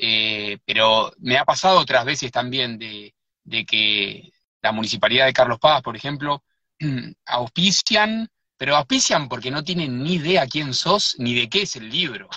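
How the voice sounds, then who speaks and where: A man with an Argentine accent speaks at medium pitch and a fairly slow pace. His tone is bright and sharp, with lively intonation. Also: dry, close sound with no echo. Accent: Rioplatense Argentine Spanish. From Buenos Aires, Argentina. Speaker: writer and researcher. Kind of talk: live interview. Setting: in a car.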